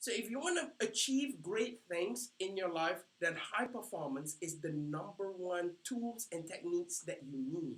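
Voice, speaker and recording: With a non-native accent, a man speaks at a fairly slow pace with hardly any pauses, in a high voice with an animated tone and lively intonation. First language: not English. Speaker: life coach. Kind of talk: training seminar. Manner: halting.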